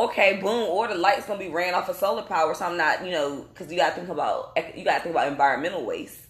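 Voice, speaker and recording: A woman talks at a very fast pace with lively intonation. Noticeable background noise and audible room echo surround her. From North Carolina. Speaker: podcast host. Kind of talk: casual chat. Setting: live recording in Atlanta.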